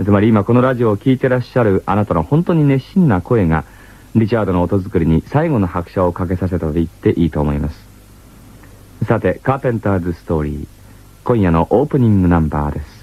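In a normal speaking voice, a man talks at a fairly quick pace with lively intonation and fairly low pitch, in a dry sound with no echo. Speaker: radio host. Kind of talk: radio program narration. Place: studio. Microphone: old recording.

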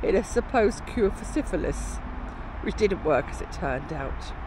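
The speech moves at a moderate pace. The sound is dry with no echo, though background noise is noticeable. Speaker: travel vlogger. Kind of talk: casual vlog commentary. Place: street. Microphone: phone near.

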